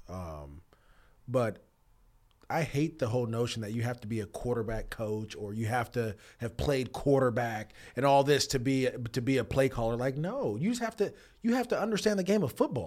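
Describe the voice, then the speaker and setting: At a moderate pace, a man with a medium pitch speaks in an unremarkable speaking voice. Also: lively intonation. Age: 30s. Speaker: former NFL player, football analyst co-host. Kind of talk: casual sports chat.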